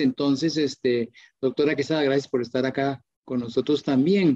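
Speaking in a Costa Rican accent, a man with a fairly high pitch and a dark, mellow tone moves at a moderate pace with fairly even intonation over a quiet background. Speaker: pharmacist and webinar moderator; webinar moderator. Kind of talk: live webinar moderation. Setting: live online stream. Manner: hesitant, many fillers. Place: home room. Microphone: video call.

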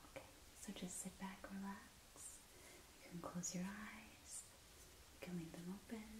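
A woman is whispering. Her pace is moderate. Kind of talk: soft-spoken roleplay instructions. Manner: soft, soothing ASMR murmur.

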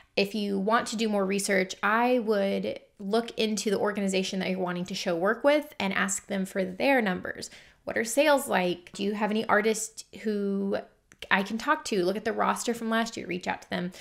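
A woman talks at a moderate speed, her pitch varying in an ordinary way, with the background quiet. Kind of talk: casual vlog chat. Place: workshop.

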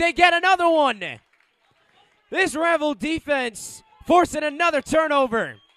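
A man's raised, projected voice with ordinary pitch variation. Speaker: high school football play-by-play announcer. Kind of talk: live sports commentary, play-by-play. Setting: stadium broadcast of a Friday night game.

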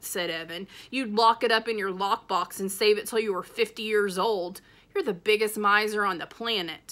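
The text is read aloud plainly. Its intonation is fairly even.

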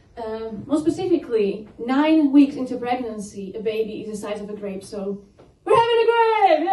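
In a room with audible echo, a woman speaks at a fairly slow pace with a high pitch and very wide pitch swings. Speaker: stand-up comedian. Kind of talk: stand-up comedy set. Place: stage.

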